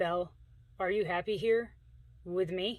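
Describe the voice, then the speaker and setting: Using a gruff, put-on character voice, a woman speaks at a medium pitch and a moderate pace. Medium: read story.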